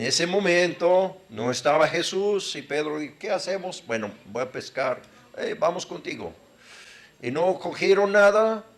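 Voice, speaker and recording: In an American accent, a man with a high-pitched voice speaks at a fairly slow pace using lively intonation. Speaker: preacher. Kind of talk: sermon. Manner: conversational, halting at times.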